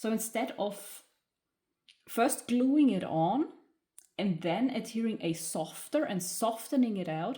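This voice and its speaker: A woman with a German accent has a dark, mellow tone that is somewhat breathy. Her intonation is lively. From Germany. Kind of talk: craft tutorial talk to camera. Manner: hesitant, many filler sounds.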